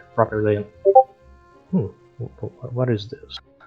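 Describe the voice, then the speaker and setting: A man speaks with music playing in the background. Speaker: game tutorial creator. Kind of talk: gameplay commentary narration.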